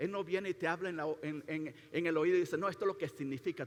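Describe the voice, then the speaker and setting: A man's high-pitched voice. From Latin America. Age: 50s. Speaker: pastor. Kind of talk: sermon. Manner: halting, many repetitions and fillers.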